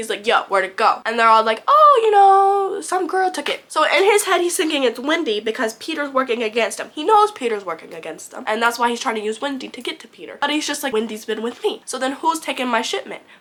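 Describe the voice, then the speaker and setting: Against noticeable background noise, a woman talks at a very fast pace and high pitch, with very wide pitch swings and hardly any pauses. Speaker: book reviewer. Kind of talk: casual talk to camera. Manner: chatty, rambling.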